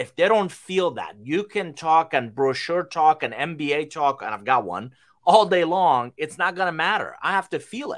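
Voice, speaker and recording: With lively intonation, a man speaks in a high pitch. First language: not English. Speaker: business consultant. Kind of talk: live stream business talk. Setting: live stream.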